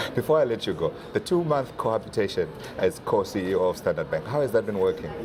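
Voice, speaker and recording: The talking runs at a very fast pace. Noticeable background noise is present. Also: man. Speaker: TV business reporter. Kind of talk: TV interview. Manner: whispering.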